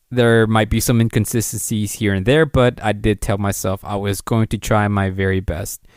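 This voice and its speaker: A soft-spoken man with a nervous tone and fairly low pitch, on a very clean recording with a silent background and a dry, close sound with no echo. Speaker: podcast host. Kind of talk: solo podcast commentary. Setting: home recording at night, guests asleep. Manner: soft-spoken, kept quiet to avoid waking guests; sounds nervous, halting with fillers.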